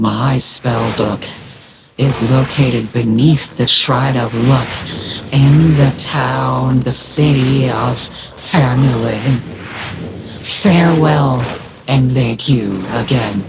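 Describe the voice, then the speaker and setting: A man performs a put-on character voice. His pitch is medium and his pace very slow. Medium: actual play. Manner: formal, solemn.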